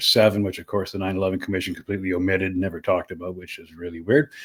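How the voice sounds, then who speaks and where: A man with a western Canadian accent speaks at a very fast pace. His pitch is very deep and low, and the recording is very clean with a silent background. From Canada, Saskatchewan (Saskatoon). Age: 60s. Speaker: podcaster and activist. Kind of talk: interview conversation. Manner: animated, with frequent repetitions and fillers.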